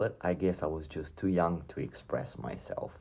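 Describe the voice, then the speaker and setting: A man with a dark, mellow tone and vocal fry speaks at a fairly slow pace. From Romania, Transylvania. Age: 40s. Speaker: YouTuber sharing personal story. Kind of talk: personal testimony.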